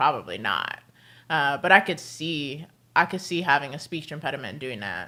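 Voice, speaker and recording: A woman with an American accent speaks at a fairly quick pace in a bright, sharp tone with vocal fry. The recording is very clean, with a silent background. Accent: slight British tinge at times. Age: 30s. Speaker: streamer. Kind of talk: casual chat. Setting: livestream at home. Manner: fluid, runs words together.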